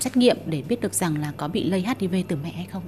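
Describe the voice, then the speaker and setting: Noticeable background noise behind a moderately paced woman, her medium pitch showing ordinary pitch variation. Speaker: reporter. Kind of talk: interview. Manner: formal.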